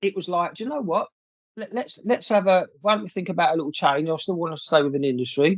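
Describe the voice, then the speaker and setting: A man with a southern English accent, high-pitched, very fast, and with lively intonation. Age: 60s. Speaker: former advertising creative director. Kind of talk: casual interview chat.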